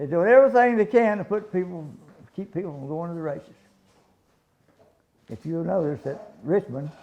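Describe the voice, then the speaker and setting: In a Southern US accent, a man speaks at a high pitch and fairly quick pace with a dark, mellow tone and lively intonation. Long, frequent pauses and big swings in loudness run through it. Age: 80s+. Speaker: retired race car owner. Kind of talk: casual interview. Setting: sit-down interview. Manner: halting, repeats words.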